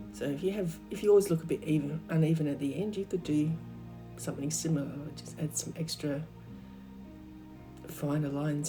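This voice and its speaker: Over music in the background, a woman speaks in a croaky, very deep, low pitch with a calm, relaxed tone. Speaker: art teacher. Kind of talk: craft tutorial narration.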